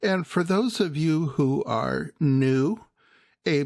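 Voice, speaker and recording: A man speaks very slowly and softly. His pitch moves in an ordinary way. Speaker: wildlife video creator. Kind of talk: narrated video commentary. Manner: soft-spoken.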